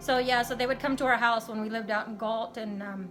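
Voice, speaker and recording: Over music in the background, a woman with an American accent talks at a very fast pace. Her pitch is fairly high and her intonation monotone and flat. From California, US. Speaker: beauty vlogger. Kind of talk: casual chat.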